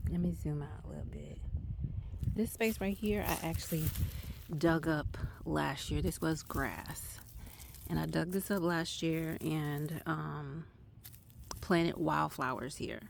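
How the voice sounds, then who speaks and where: A woman speaks at a fairly slow pace. Her speech is broken by long, frequent pauses. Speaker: gardening vlogger. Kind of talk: casual vlog tour. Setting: outdoors. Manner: loud; casual.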